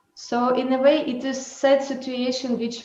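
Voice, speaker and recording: A woman is speaking with music in the background. The room echo is audible. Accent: non-native. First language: not English. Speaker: dancer and choreographer. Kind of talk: webinar talk. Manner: halting.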